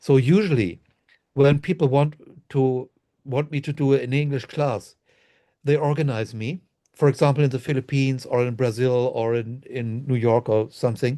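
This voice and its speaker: In a German accent, a man with a medium pitch and a dark, mellow tone speaks at a moderate pace with ordinary pitch variation against a quiet background. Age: 60s. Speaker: Reiki master and author. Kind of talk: interview.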